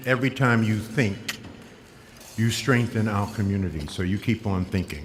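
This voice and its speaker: With an American accent, a man speaks at a moderate pace and medium pitch with ordinary pitch variation, and audible room echo surrounds him. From US. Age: 70s. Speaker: motivational speaker. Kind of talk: keynote speech. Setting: stage with audience. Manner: animated.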